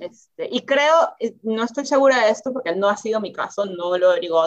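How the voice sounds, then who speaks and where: Lively intonation at a fairly quick pace. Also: woman. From Peru. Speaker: interview guest, new mother. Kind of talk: casual interview. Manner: hesitant, many repetitions and fillers.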